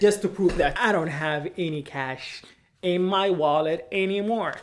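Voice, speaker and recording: With a Sudanese accent, the speaker talks at a fairly slow pace with ordinary pitch variation over noticeable background noise. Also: man, high pitch for a man. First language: Arabic (Sudanese dialect). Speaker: vlogger. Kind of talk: vlog monologue. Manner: occasionally halting, non-native fluency.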